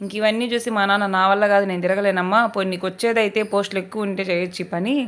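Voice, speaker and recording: The woman's intonation stays flat and monotone. Her pitch sits in the middle range. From Andhra Pradesh, Prakasam district. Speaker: vlogger. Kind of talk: casual vlog narration.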